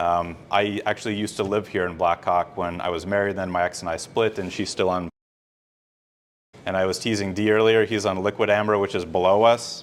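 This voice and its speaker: This man with an American accent talks at a fairly quick pace, pitched fairly low, with fairly even intonation. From US Midwest, northern Minnesota. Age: 40s. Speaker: political candidate. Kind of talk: campaign speech. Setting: fundraiser event in a room, no microphone. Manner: loud; casual. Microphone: no microphone, room sound.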